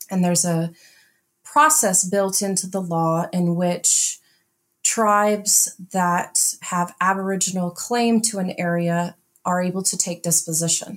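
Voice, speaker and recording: A plain, everyday voice speaks at a fairly slow pace with fairly even intonation. The recording is very clean, with a silent background. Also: woman, medium pitch for a woman. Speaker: NAGPRA office director and archaeologist. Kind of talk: interview conversation.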